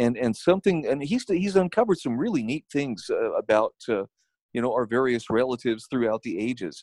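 An ordinary speaking voice from a man, medium in pitch, fairly quick and lively in intonation, with a dry, close sound and no echo. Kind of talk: casual interview chat.

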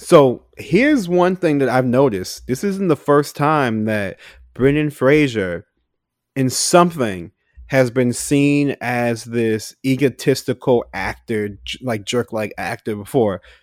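In a very clean recording with a silent background, a man with an unremarkable speaking voice talks at a medium pitch and a fairly slow pace with lively intonation. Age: 20s. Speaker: podcast co-host. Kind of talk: casual chat.

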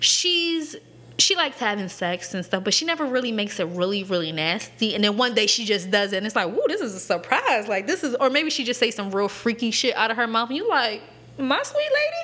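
A woman with an American accent, fairly high pitch, very wide pitch swings and a fairly quick pace, over noticeable background noise. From Lancaster, Pennsylvania (earlier Arizona). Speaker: podcast co-host. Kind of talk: casual chat.

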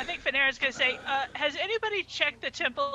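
A woman rattles along at a very fast pace, her intonation lively, with noticeable background noise underneath. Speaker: tabletop game player. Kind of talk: casual game chat.

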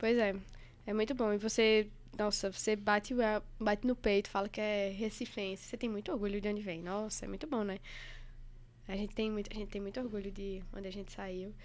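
A woman speaks at medium pitch in a monotone, flat delivery. Her pace is fairly quick, though long, frequent pauses break it up. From Recife, Pernambuco, Brazil. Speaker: anesthesiology resident doctor. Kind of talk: casual chat.

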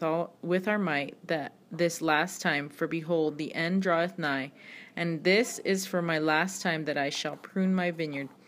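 On a very clean recording with a silent background, a woman speaks in a plain, everyday voice, fairly low in pitch, at a moderate pace. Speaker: podcast host reading scripture; mother. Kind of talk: scripture reading, solemn and steady, in archaic King James phrasing. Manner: measured, reverent, even-paced, with small self-corrections.

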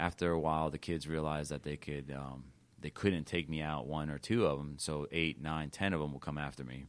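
With a very deep, low pitch and fairly even intonation, a man talks at a fairly quick pace with hardly any pauses. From Miami. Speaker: lawyer. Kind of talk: interview.

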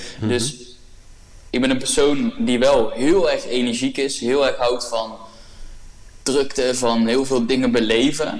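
Speaking at a fairly slow pace with long, frequent pauses, a man uses a medium pitch and fairly even intonation, with audible room echo around his voice. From Brabant, Netherlands. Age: 20s. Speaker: podcast guest, young entrepreneur. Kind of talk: casual interview.

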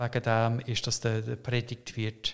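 At a very slow pace, a man speaks in a medium pitch. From Canada. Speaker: pastor. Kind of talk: interview conversation. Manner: halting, many hesitations.

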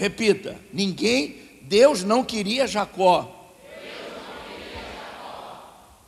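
A man speaks in a high voice with lively intonation and an animated tone. Noticeable background noise is present. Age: 30s. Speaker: pastor. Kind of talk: sermon.

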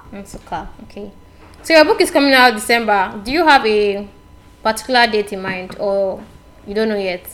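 A woman speaks with lively intonation and big swings in loudness. Noticeable background noise runs underneath. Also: fairly high pitch for a woman, moderate pace. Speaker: podcast host, writer and blogger. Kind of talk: interview. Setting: sat down together for interview.

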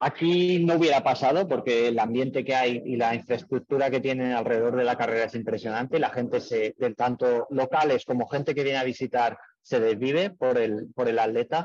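A man's medium-pitched, unremarkable speaking voice, very even in loudness, at a fairly quick pace with ordinary pitch variation. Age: 30s. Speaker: amateur triathlete and mechanic. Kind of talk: interview.

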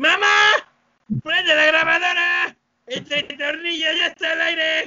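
Shouting in a put-on character voice, a man speaks at an extremely high pitch and a moderate pace. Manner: shouted, cartoonish.

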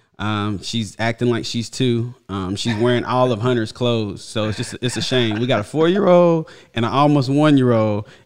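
Over a quiet background, a man with an unremarkable speaking voice talks at a moderate pace and medium pitch, with ordinary pitch variation and hardly any pauses. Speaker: football podcast host. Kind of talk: casual chat. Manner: casual, slangy.

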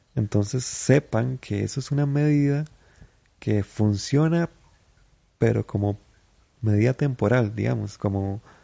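A man speaks at a fairly slow pace with a medium pitch, a dark, mellow tone and ordinary pitch variation. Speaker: comedian podcaster. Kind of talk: casual monologue.

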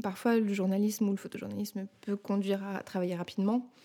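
A woman speaks at a moderate pace and medium pitch. Her tone is dark and mellow, and her intonation is monotone and flat. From Paris suburbs, Seine-et-Marne, France. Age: 30s. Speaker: documentary filmmaker and photographer. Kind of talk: interview. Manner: halting, many hesitations.

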